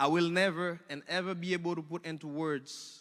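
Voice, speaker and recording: A man with a strong Haitian accent, a high pitch and a bright, sharp tone, on a very clean recording with a silent background. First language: Haitian Creole or French. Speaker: alumni speaker, automotive technician and teacher. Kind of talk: speech.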